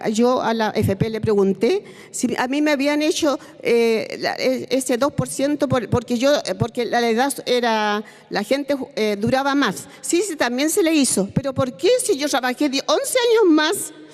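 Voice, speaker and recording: Speaking at a fairly slow pace, a woman has a high pitch and lively intonation. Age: 70s. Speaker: retired hospital technician. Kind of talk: testimony at a public seminar. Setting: seminar panel, televised. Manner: halting, with hesitations and restarts.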